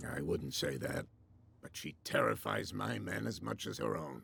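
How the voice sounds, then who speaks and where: A man's put-on character voice, raspy and very deep in pitch, with ordinary pitch variation at a moderate pace. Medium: video game.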